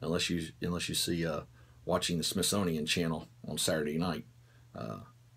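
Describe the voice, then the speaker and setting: A man with a Southern US accent speaks in a very deep, low pitch with vocal fry and ordinary pitch variation. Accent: southern drawl. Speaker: firearms instructor. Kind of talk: Q&A show, casual talk to camera. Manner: casual, hesitant with many fillers.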